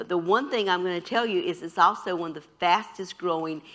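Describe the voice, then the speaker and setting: A woman's voice sits fairly low in pitch. Her tone is bright and sharp. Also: quiet background. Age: 70s. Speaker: nursing professor. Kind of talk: health education talk in church. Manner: conversational, with fillers.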